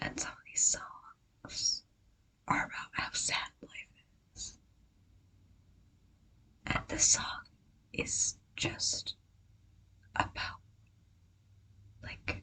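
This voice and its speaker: A woman whispers at a very slow pace with long, frequent pauses. Her loudness swings widely. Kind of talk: ASMR casual talk to camera. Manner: whispered.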